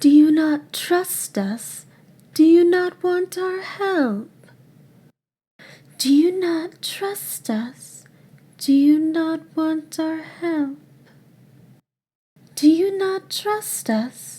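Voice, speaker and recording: Using a high-pitched put-on character voice, the speaker goes very slowly with long, frequent pauses. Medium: voice reel.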